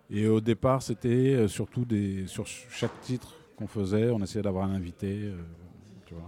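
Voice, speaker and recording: Fairly low, dark, mellow tones from a man at a fairly slow pace, with fairly even intonation, big swings in loudness and long, frequent pauses. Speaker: brass musician and singer. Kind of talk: casual interview chat. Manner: hesitant, conversational.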